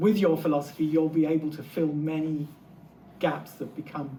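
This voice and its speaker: This man talks at a moderate pace with a North London accent, his pitch fairly high and his intonation fairly even. Audible room echo surrounds his voice. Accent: North London English, retained. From England, North London. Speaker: literature professor. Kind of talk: lecture. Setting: lecture hall with audience.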